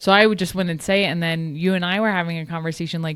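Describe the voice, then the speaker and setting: A woman with a New Jersey accent speaks at a fairly low pitch in a very clean recording with a silent background. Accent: Jersey accent, noticeable. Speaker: podcast co-host. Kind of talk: casual chat.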